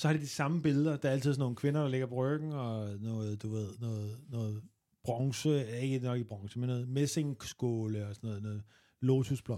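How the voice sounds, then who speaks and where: The tone is dark and mellow, with ordinary pitch variation at a moderate pace. It is a very clean recording with a silent background. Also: man, medium pitch for a man. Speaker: comedian. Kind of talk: casual chat.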